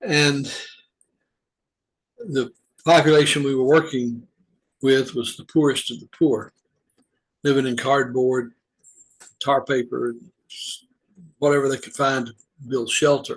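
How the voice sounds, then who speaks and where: Speaking with a Southern US accent, a man keeps a fairly slow pace and fairly even intonation, with big swings in loudness and long, frequent pauses. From US South, Georgia. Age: 70s. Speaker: retired humanitarian volunteer. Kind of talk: personal reflective monologue. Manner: halting, with fillers.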